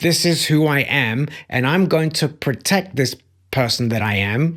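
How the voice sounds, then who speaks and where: A man's fairly high voice with a British accent, in a very clean recording with a silent background. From Belgium. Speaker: life coach and motivational speaker. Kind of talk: motivational talk. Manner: emphatic.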